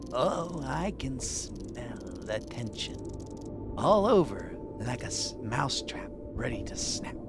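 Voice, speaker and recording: A man's strained, hissing put-on character voice at a fairly slow pace, against loud background noise. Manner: menacing, teasing.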